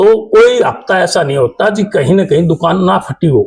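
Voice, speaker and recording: With ordinary pitch variation, a man speaks in a high voice. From Haryana, Bhiwani. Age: 50s. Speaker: politician. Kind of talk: interview. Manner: halting.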